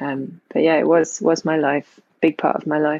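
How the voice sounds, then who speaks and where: A woman with a London accent, very deep and low in pitch, at a moderate pace and with fairly even intonation. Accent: British, near-RP London. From Northwest London. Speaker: actress. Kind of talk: casual interview chat.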